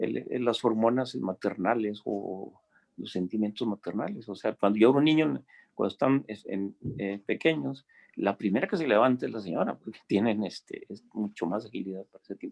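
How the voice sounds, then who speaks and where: Dry and close with no echo, a man's fairly low voice moves at a moderate pace with big swings in loudness. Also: ordinary pitch variation. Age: 60s. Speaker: retired engineering teacher and science enthusiast. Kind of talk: casual chat. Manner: halting.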